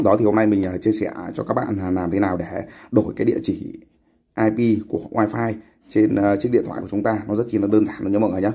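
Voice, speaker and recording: Here is a man with a fairly low pitch. His tone is dark and mellow, his intonation fairly even. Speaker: tech YouTuber. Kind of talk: tutorial. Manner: casual, hesitant with fillers.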